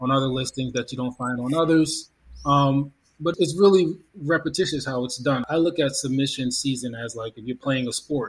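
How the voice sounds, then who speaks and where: A somewhat breathy man at a medium pitch, moderate pace and fairly even intonation. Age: 30s. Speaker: playwright. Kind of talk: casual chat.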